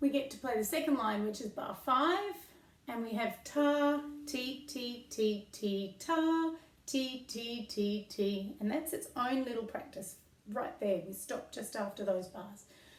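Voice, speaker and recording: Noticeable background noise and audible room echo surround the voice. A woman speaks at a high pitch with lively intonation. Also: fairly slow pace. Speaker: violin teacher. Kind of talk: tutorial. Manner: slow, step-by-step.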